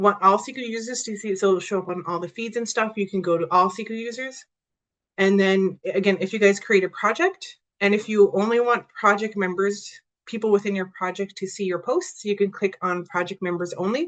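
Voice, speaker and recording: This woman's intonation stays fairly even while her pace is fairly quick. Nothing disturbs the quiet background. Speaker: software trainer / outreach presenter; software trainer, presenter. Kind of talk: tutorial workshop. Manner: fast; casual, with many fillers. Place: home room.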